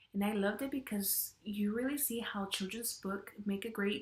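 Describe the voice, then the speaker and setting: A woman with a Spanish accent, somewhat breathy at a medium pitch, at a fairly slow pace. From Mexican-American, US. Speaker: education student. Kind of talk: class video presentation.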